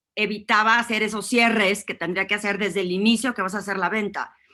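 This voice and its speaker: Her voice has a bright, sharp tone. The woman's intonation stays fairly even. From northern Mexico (Torreón, Coahuila). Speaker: executive presence consultant. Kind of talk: interview.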